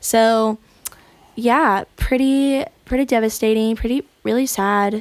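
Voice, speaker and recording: In an American accent, a woman speaks at a very slow pace and a fairly high pitch with fairly even intonation, the sound dry and close with no echo. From Florida. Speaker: musician. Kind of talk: casual chat. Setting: studio.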